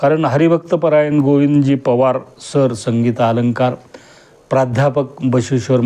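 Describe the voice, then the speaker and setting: Fairly even intonation from a man at a medium pitch, his tone dark and mellow. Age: 50s. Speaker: retired government auditor giving a kirtan-style discourse. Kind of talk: religious discourse.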